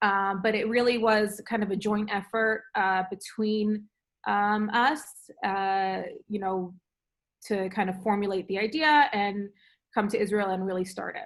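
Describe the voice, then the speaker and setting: A woman in a New York accent, medium pitch, fairly even intonation and fairly slow pace, on a very clean recording with a silent background. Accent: New York American English. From New York, USA. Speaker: food entrepreneur, frozen yoghurt shop owner. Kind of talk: interview answer.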